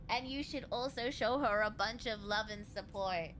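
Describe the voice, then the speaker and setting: A woman's voice over noticeable background noise. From Australia. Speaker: streamer. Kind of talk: casual chat. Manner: animated.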